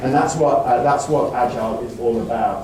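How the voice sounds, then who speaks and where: A man speaks with an English accent. Noticeable background noise and audible room echo come through. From England. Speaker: conference speaker. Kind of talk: conference talk. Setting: stage with audience. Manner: animated.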